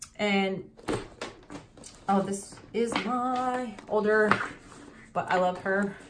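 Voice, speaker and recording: The speech is very slow, with long, frequent pauses, very even loudness and fairly even intonation. Audible room echo and noticeable background noise are present. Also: woman, medium pitch for a woman. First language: not English. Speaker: handbag collection vlogger. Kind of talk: casual show-and-tell video. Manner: halting, tongue-tied.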